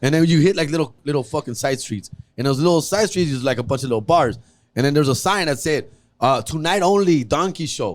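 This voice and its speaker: Speaking at a very fast pace, a man uses a fairly high voice with an animated tone and lively intonation. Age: 40s. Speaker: comedian. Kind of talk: casual chat.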